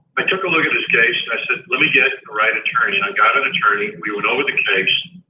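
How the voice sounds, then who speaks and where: Very fast speech from a man, with noticeable noise behind it. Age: 70s. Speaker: foreclosure consultant. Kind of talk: radio interview.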